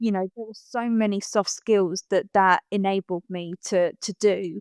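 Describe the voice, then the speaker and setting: With a slight Essex accent, a woman talks at a fairly slow pace in a monotone, flat intonation, the sound dry and close with no echo on a very clean recording with a silent background. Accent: slight Essex twang. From Essex, England. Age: 30s. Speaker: motivational speaker. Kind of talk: interview conversation.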